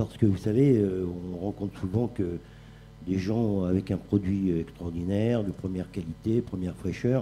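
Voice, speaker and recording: Music plays in the background as a man speaks at a moderate pace. His voice is very deep and low, with fairly even intonation. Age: 60s. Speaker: chef. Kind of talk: panel talk. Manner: halting.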